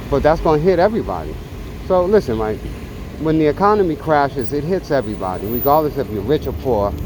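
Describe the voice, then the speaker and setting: The talking is very fast, and noticeable background noise sits behind it. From New York City, Bronx. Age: 60s. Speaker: vlogger and small business owner. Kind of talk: casual political rant while riding. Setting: on a motorcycle ride. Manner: halting, many fillers.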